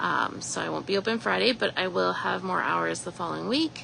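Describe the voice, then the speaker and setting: A woman with a Canadian Prairie accent amid noticeable background noise. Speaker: shop owner. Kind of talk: live store tour announcements. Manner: casual with fillers.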